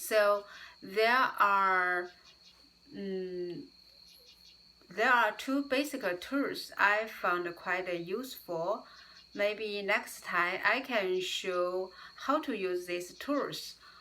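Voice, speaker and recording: Speaking at a very slow pace with long, frequent pauses, a woman with a non-native accent keeps a medium pitch and ordinary pitch variation. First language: not English. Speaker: YouTuber, English learner. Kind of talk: casual vlog talk. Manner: halting, many fillers.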